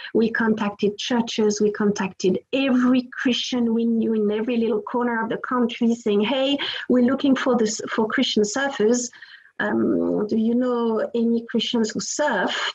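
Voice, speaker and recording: In a French accent, a woman talks at a moderate pace and a fairly high pitch, her intonation monotone and flat. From France. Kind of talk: interview testimony.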